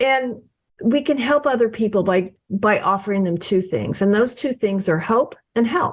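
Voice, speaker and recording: Somewhat breathy, a woman speaks at a fairly high pitch with very even loudness. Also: ordinary pitch variation, moderate pace. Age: 60s. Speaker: author and book coach. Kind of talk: podcast interview.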